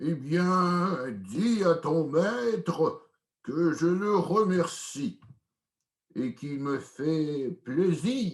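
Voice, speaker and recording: A man puts on a character voice pitched high. He speaks very slowly with lively intonation. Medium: read story.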